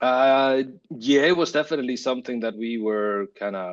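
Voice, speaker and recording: A man with an Icelandic accent at a moderate pace, his intonation fairly even and the background quiet. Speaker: creative director. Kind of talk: interview. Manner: halting.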